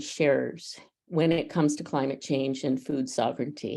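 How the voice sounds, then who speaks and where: A woman's dark, mellow tone at a moderate pace. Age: 70s. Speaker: advocacy network representative, panelist. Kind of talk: panel discussion.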